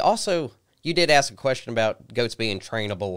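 Someone with an Appalachian accent speaks on a very clean recording against a silent background. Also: man. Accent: southern Appalachian American. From southwest Virginia, Christiansburg. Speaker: goat grazing business owner. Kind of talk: interview. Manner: halting.

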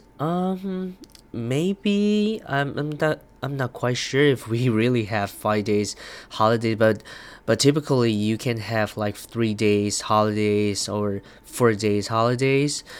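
A man with a Chinese accent speaks at a very slow pace in a very clean recording with a silent background. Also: medium pitch for a man, ordinary pitch variation. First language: Mandarin Chinese. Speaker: podcaster. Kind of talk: casual monologue. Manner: halting, many fillers.

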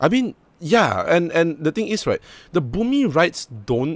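Vocal fry marks a man's voice. He speaks at a moderate speed. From Malaysia. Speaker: podcast co-host. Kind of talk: casual chat.

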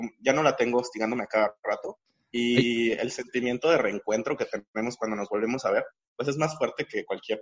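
Speaking at a fairly quick pace, a man has an unremarkable speaking voice at a medium pitch with ordinary pitch variation. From Campeche, Mexico. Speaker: activist. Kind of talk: testimony.

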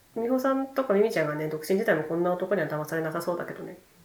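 The voice's pitch swings very widely. Audible room echo and noticeable background noise accompany it. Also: woman. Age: 30s. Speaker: podcast host. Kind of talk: casual chat.

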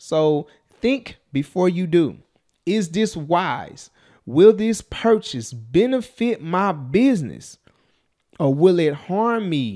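In a very clean recording with a silent background, a man with a dark, mellow tone and a high pitch speaks at a very slow pace, his pitch swinging very widely. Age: 30s. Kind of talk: motivational monologue. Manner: casual, conversational.

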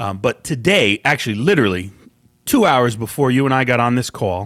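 With a normal speaking voice, a man talks at a fairly quick pace and lively intonation, dry and close with no echo on a very clean recording with a silent background. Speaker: podcast co-host. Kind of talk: casual chat.

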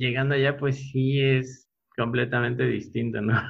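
At a fairly slow pace, a man with a medium pitch speaks in a somewhat breathy voice. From Mexico, Puebla. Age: 30s. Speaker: architect. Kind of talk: interview. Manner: halting, with many repeated words.

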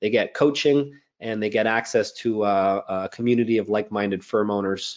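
Against a quiet background, a man with a Canadian accent and a normal speaking voice talks at a moderate pace, fairly low in pitch, with fairly even intonation. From Montreal, Canada. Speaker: accountant and business coach. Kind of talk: interview.

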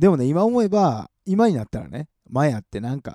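A man's dark, mellow voice at a moderate pace with very wide pitch swings, in a dry, close sound with no echo. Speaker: radio host and live streamer.

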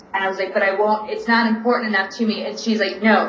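A woman speaks in a monotone, with flat intonation. Noticeable background noise runs under her voice. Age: 40s. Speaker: stand-up comedian. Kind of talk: casual interview.

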